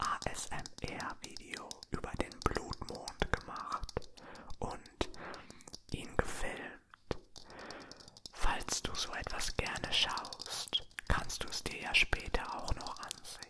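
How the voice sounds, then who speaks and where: A man whispers at a very slow pace. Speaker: ASMR creator. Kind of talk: ASMR whisper in German. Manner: soft-spoken, whispered. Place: home room. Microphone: handheld.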